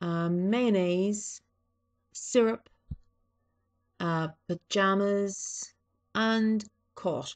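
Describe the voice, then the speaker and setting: In a dry, close sound with no echo and a quiet background, a woman speaks very slowly at a medium pitch with ordinary pitch variation. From East Coast of Ireland. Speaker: vlogger. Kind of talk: casual vlog, reading a word list. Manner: hesitant, many fillers.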